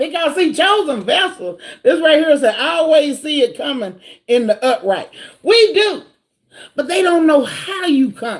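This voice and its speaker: A high-pitched woman at a moderate pace, with very wide pitch swings. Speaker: tarot reader. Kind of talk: live tarot reading stream. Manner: loud; animated.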